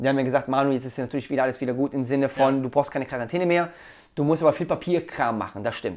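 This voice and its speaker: Against a quiet background, the speaker talks very fast with ordinary pitch variation. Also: man, fairly high pitch for a man. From Italy. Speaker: dance school owner. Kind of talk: casual chat.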